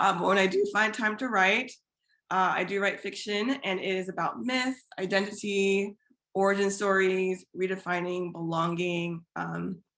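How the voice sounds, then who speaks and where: A woman speaks in a normal speaking voice with an American accent, at a moderate pace. Her intonation stays fairly even against a quiet background. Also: medium pitch for a woman. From US Midwest, Iowa. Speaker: physician and fiction writer. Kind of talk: panel discussion.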